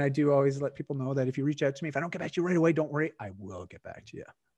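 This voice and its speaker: Over a quiet background, a man with a slight Canadian accent talks at a very fast pace. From Canada. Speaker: wellness coach. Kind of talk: casual interview chat. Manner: halting, repeats words.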